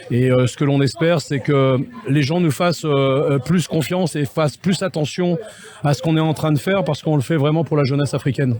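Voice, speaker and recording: Over noticeable background noise, a man with a fairly high pitch talks at a fairly quick pace, keeping his loudness very even and his pitch variation ordinary. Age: 60s. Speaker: MMA event organizer. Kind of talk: interview. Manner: hesitant, many fillers.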